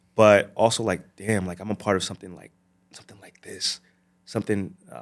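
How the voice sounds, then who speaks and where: The background is silent in this very clean recording. A man with an American accent speaks at a fairly low pitch. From New Jersey. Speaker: actor and model. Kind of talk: casual interview chat. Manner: animated, many fillers and repetitions.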